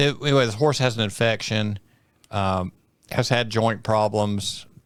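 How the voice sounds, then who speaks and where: This is an unremarkable speaking voice at a fairly quick pace. The recording is very clean with a silent background. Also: man. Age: 60s. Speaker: farrier. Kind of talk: casual chat.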